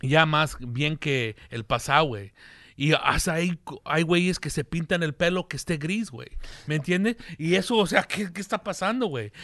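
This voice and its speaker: An ordinary speaking voice from a man, fairly high in pitch with lively intonation and a moderate pace, in a dry, close sound with no echo against a quiet background. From US, Mexican-American family. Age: 40s. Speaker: comedian and podcast host. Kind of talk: casual chat.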